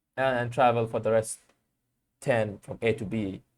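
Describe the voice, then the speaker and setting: A man speaks with a Bengali accent. His voice has a medium pitch. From Bangladesh. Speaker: vlogger. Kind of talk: casual monologue to camera. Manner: halting, many repetitions.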